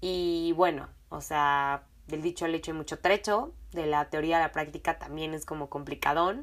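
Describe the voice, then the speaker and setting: A woman with a Mexican accent, very deep and low in pitch, animated in tone, at a moderate pace, in a very clean recording with a silent background. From Mexico. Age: 20s. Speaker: podcast host. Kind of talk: casual storytelling monologue.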